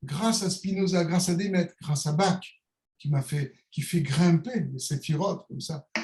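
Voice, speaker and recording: Speaking at a very slow pace, a man has a dark, mellow tone and ordinary pitch variation. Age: 60s. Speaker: calligrapher and author. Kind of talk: interview. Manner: hesitant, many repetitions; animated.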